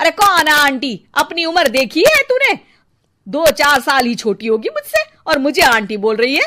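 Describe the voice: In a cartoonish character voice, a woman speaks high and bright with a sharp tone, very wide pitch swings and a moderate pace.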